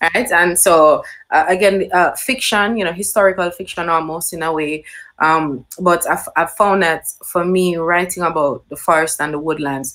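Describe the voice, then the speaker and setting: At a moderate pace, a woman with a Jamaican accent talks with ordinary pitch variation. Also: fairly low pitch for a woman. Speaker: nature writer. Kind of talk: panel talk. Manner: hesitant, many fillers.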